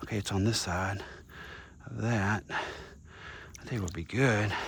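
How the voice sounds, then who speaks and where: A man's fairly low voice with audible room echo. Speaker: vlogger, single dad. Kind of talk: casual vlog narration while working.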